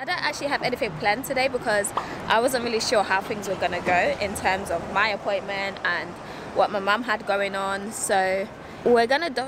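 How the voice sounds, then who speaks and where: A woman talks at a fairly quick pace with ordinary pitch variation, in a dry sound with no echo over noticeable background noise. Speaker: vlogger. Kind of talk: casual vlog chat. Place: street. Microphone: earbuds.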